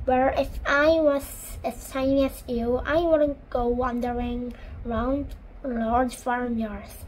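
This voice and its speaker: Someone speaks in a put-on character voice at a very slow pace with fairly even intonation. Clear background noise runs underneath. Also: woman, high pitch for a woman. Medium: read story. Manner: warm, gentle.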